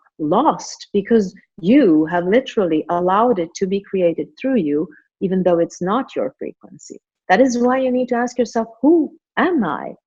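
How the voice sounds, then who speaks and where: Speaking at a moderate pace, this voice carries a non-native accent. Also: woman. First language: not English. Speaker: spiritual author and teacher. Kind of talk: podcast interview.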